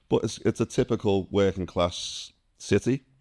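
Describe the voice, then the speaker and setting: A man speaks with a Liverpool accent, his very deep, low pitch carrying a dark, mellow tone. The recording is very clean with a silent background and a dry, close sound with no echo. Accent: Liverpool (Scouse) English. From northern England, Liverpool. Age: 50s. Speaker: ex-military immigrant. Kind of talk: interview.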